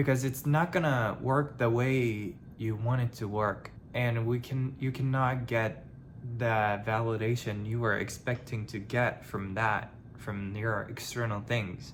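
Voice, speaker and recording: A man with a non-native accent and a medium pitch speaks at a fairly slow pace, somewhat breathy, with fairly even intonation. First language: not English. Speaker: vlogger. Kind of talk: personal vlog monologue. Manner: halting; casual.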